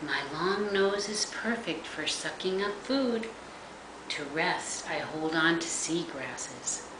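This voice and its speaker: A woman's warm, gentle, sing-song voice at a very slow pace over noticeable background noise. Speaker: grandmother reading to grandchildren. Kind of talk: bedtime story reading aloud to young children. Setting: video message recorded at home for grandchildren. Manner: warm, gentle, sing-song and playful; slow, with pauses and sound effects for the little ones. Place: home room. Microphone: webcam.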